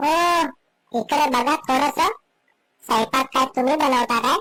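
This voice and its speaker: Loud and shrill, a cartoonish character voice at a high pitch moves at a fairly slow pace. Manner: loud, scolding.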